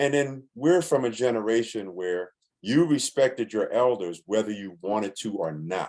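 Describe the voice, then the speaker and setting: With an American accent, a man speaks at medium pitch in a normal speaking voice, his intonation lively. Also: moderate pace. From New York (Bronx). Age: 60s. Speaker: musician. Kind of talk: interview.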